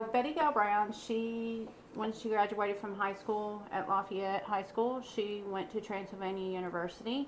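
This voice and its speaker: With a Kentucky accent, a woman speaks at a medium pitch with fairly even intonation. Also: moderate pace, hardly any pauses. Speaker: true crime podcaster. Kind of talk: casual chat.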